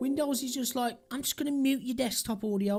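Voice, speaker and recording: Someone speaks in a British accent with music in the background. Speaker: crypto livestreamer. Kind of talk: casual livestream commentary.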